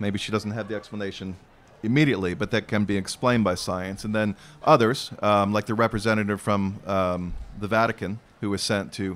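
On a very clean recording with a silent background, a man with an American accent uses an ordinary speaking voice, fairly low in pitch, fairly quick, with fairly even intonation. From Arizona. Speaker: novelist. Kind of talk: onstage interview. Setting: outdoor festival stage with audience.

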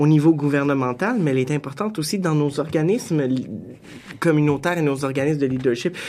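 Speaking at a fairly quick pace, a man has an unremarkable speaking voice. His pitch is fairly high with ordinary variation. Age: young. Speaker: director of a student association. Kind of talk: radio panel discussion. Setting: studio.

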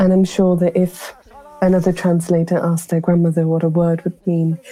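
Fairly quick speech from a woman with fairly low pitch and monotone, flat intonation, over noticeable background noise. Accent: British. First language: Potwari. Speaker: poet and translator. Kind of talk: reflective interview narration.

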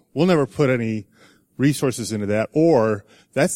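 The sound is dry and close with no echo as a man with a plain, everyday voice speaks at medium pitch, with lively intonation and a moderate pace. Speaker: audience member asking question. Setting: audience with handheld microphone.

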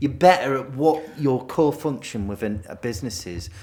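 This man's intonation is lively. He talks at a moderate pace in a medium register. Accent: northern English. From northern England. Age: middle-aged. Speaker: podcast co-host. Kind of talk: casual chat.

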